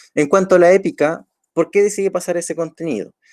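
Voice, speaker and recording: Fairly quick speech from a man, the sound dry and close with no echo. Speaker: teacher. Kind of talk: online lecture.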